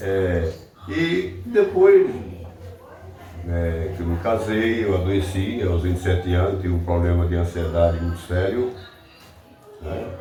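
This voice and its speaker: In a room with audible echo and noticeable background noise, a man speaks at a very deep, low pitch in a flat monotone. His pace is fairly slow, broken by long, frequent pauses. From Brazil, Alagoas (Joaquim Gomes). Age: 60s. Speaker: local writer. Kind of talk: interview.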